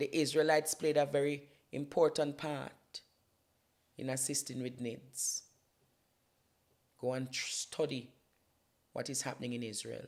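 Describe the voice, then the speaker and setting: A man with a Jamaican accent, fairly high in pitch, with monotone, flat intonation at a fairly slow pace and long, frequent pauses. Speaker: political commentator and YouTuber. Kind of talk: impassioned political talk on a talk show. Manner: emphatic, declamatory.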